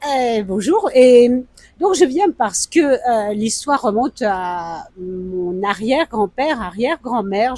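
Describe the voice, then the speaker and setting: Very slowly, a woman speaks with a dark, mellow tone at a high pitch, her pitch swinging very widely, in a dry, close sound with no echo. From France. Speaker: interviewee, traveler. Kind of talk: interview. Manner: hesitant, with many fillers.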